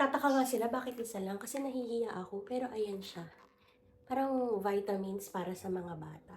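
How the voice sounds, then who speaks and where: A woman talks at a fairly quick pace with a fairly high pitch and ordinary pitch variation. Her voice is somewhat breathy, with audible room echo. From Philippines. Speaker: lifestyle vlogger. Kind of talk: haul unboxing vlog.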